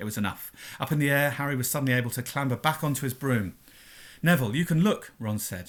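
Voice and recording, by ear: Someone reads aloud here in a natural voice.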